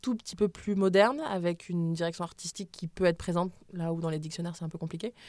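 The speech comes at a very fast pace with fairly even intonation, on a very clean recording with a silent background. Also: woman. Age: 20s. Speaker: sex educator and author. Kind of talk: interview. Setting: studio. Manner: hesitant, many fillers.

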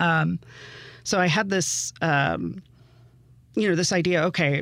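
A man talks in a normal speaking voice, fairly high in pitch, with fairly even intonation. The recording is very clean with a silent background. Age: 30s. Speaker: novelist. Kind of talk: casual chat.

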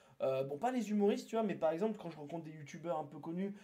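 A man talks at a very fast clip with lively intonation. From southern France, near Toulouse. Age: 30s. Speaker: streamer. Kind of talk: casual chat. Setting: live stream from his apartment.

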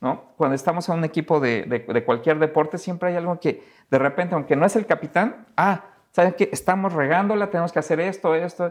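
Fairly quick, high-pitched male speech with a Mexico City accent, in a quiet background. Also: ordinary pitch variation. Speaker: economist. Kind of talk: casual interview.

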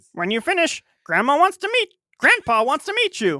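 Using a put-on character voice, a man projects loudly at an extremely high pitch, swinging very widely in pitch at a moderate pace. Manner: kindly.

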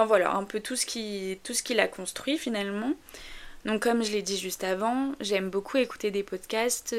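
In a slight northern French accent, the speaker talks at a fairly slow pace with fairly even intonation on a very clean recording with a silent background. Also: woman. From northern France. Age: 20s. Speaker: podcaster. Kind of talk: casual monologue. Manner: hesitant, many fillers.

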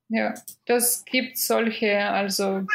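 In a Russian accent, a woman speaks at a very slow pace. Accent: Russian-sounding foreign accent in German. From Belarus (Minsk). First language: Russian or Belarusian (speaking German). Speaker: food photographer. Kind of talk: podcast interview. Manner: halting, many fillers.

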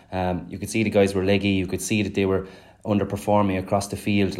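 A man talks very fast in a Clare accent. His intonation is monotone and flat. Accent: Irish, Clare. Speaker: former hurler and pundit. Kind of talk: casual sports analysis chat.

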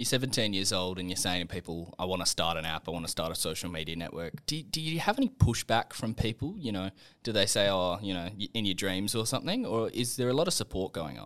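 With an Australian accent, a man speaks at a very fast pace with hardly any pauses, using lively intonation at a fairly low pitch. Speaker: podcast host. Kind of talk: interview.

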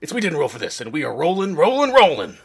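A man talking very fast, his pitch high. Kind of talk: parody radio commercial. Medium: solo performance. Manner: fast, loud, hard-selling.

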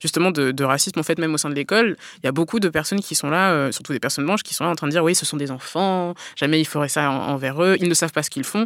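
Speech comes at a very fast pace with ordinary pitch variation. The recording is very clean, with a silent background. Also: woman. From provincial France. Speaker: children's book author and blogger. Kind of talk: interview. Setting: studio.

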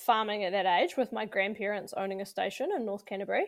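A woman with a New Zealand accent on a very clean recording, background silent. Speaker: agriculture podcast co-host. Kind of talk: casual chat.

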